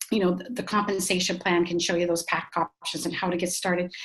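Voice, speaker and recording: A woman talks at a very fast pace with a fairly low pitch and ordinary pitch variation. Noticeable background noise is present. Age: 60s. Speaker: dietitian and network marketing distributor. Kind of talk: webinar presentation. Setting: online webinar. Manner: animated.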